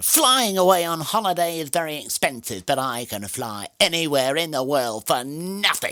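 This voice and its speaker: A man speaks in a put-on character voice with hardly any pauses. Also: fairly high pitch for a man, moderate pace. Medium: read story. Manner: grand, self-satisfied.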